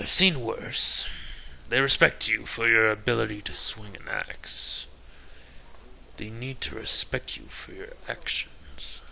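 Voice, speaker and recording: A man does a put-on character voice at a fairly slow pace, with clear background noise behind him. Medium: solo performance.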